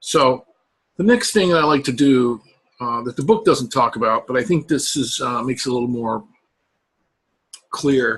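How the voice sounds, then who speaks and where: Lively intonation broken up by long, frequent pauses. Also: man, medium pitch for a man. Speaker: college professor. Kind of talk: recorded lecture. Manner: slow; hesitant, many fillers.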